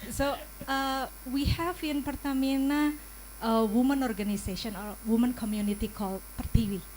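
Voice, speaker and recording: At a moderate pace, a woman with an Indonesian accent speaks in a high pitch with ordinary pitch variation. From Indonesia, Yogyakarta. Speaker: audience member asking question. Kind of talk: audience question. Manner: halting.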